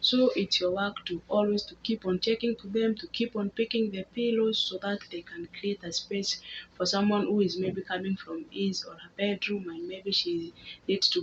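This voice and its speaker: Speaking at a moderate pace with a Kenyan accent, a woman keeps a medium pitch and ordinary pitch variation. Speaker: housemaid and vlogger. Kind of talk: casual vlog talk to camera. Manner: halting with repetitions.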